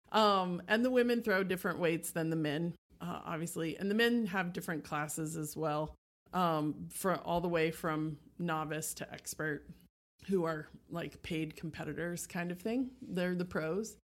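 A woman has a plain, everyday voice, pitched fairly low. She keeps a moderate pace with ordinary pitch variation. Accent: American. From Texas, Houston. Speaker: teacher and amateur athlete. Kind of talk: casual interview.

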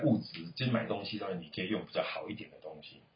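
Here a man talks at a fairly quick pace. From Taiwan. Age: 40s. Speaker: uncle of the child host. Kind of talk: casual chat with a child.

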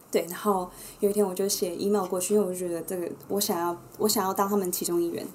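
The speech races along at a very fast pace in a flat monotone, with audible room echo and noticeable background noise. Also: woman, medium pitch for a woman. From Taiwan. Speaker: entrepreneur, former New York club worker. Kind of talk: casual chat.

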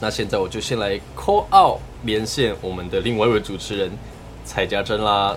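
A fairly low-pitched man with a Taiwanese accent and ordinary pitch variation, amid noticeable background noise. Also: moderate pace. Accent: Taiwanese Mandarin. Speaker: podcast host. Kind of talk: casual chat. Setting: remote call with co-host.

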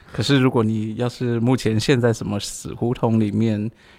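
With a plain, everyday voice, a man speaks at a fairly low pitch and with fairly even intonation. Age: 40s. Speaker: podcast co-host. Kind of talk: casual chat.

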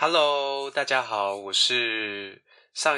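The man's tone is bright and sharp, with ordinary pitch variation, and the background is quiet. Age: 20s. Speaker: office worker, podcast guest. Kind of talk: casual chat. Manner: animated, laughing.

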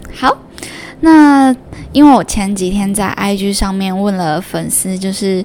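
Amid noticeable background noise, a woman speaks fairly slowly at a medium pitch with lively intonation. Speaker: podcast host. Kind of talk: solo podcast monologue. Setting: home room recording.

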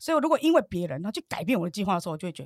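An animated voice with very wide pitch swings sits in a dry, close sound with no echo, on a very clean recording with a silent background. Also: woman. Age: 50s. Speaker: entrepreneur and course student. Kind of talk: interview.

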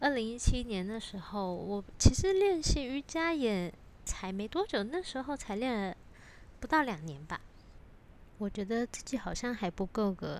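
A woman speaks at a fairly slow pace with a fairly high pitch. Her pitch rises and falls very widely. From Taiwan. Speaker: yoga teacher and podcast host. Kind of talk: solo podcast monologue.

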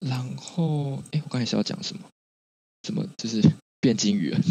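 This man's medium-pitched voice has lively intonation at a moderate pace, broken by long, frequent pauses. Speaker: podcast co-host. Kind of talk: casual chat.

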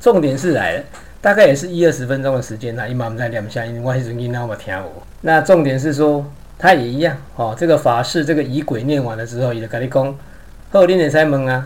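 Audible room echo surrounds a man speaking at a very fast pace. His medium pitch shows ordinary pitch variation. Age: 50s. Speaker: podcaster. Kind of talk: personal storytelling monologue.

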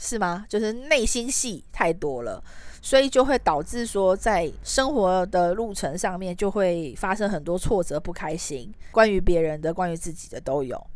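A woman with a medium-pitched voice speaks at a fairly slow pace with hardly any pauses, her pitch swinging very widely. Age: 30s. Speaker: podcast host. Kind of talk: solo podcast monologue.

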